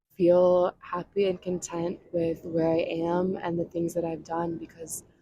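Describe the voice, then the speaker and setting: A soft-spoken woman with a fairly low pitch, at a fairly slow pace. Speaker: ASMR creator. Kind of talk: ASMR travel storytelling to camera. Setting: outdoors, beach.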